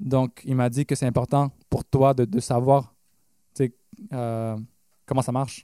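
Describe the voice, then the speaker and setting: In a dark, mellow tone at a medium pitch, a man talks very slowly with fairly even intonation and long, frequent pauses, the sound dry and close with no echo. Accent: Quebec. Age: 20s. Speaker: pop/rock musician. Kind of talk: casual interview. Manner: halting.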